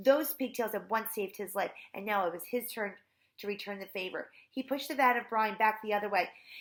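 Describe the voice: Ordinary pitch variation in plain reading aloud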